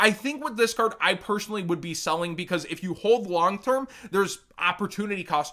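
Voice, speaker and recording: On a very clean recording with a silent background, a man with an American accent uses a raised, projected voice that is high-pitched, bright and sharp. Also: ordinary pitch variation, fairly quick pace. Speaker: trading card game content creator. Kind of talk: market analysis commentary.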